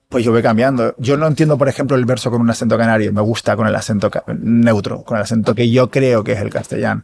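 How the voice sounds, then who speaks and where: At a very fast pace with hardly any pauses, a man talks in a medium pitch with fairly even intonation. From Canary Islands. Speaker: actor. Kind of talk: interview conversation.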